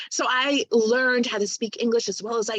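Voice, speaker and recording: A woman with a Spanish accent speaks at a fairly slow pace in a fairly high voice, the sound dry and close with no echo. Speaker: poet, doula and sex educator. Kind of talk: casual interview conversation.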